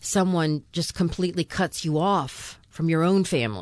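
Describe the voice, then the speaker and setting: Against a quiet background, a woman talks at a fairly low pitch with ordinary pitch variation. Hers is an unremarkable speaking voice. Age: 60s. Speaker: podcast host. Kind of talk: casual chat.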